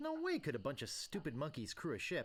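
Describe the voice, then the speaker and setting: A put-on character voice rattles along at a fairly quick pace. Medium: video game.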